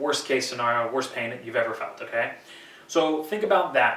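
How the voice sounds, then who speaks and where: A man speaks at a fairly quick pace with a fairly high pitch and ordinary pitch variation. Audible room echo and noticeable background noise fill the recording. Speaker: posture therapist. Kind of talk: tutorial. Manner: fast; casual instructive.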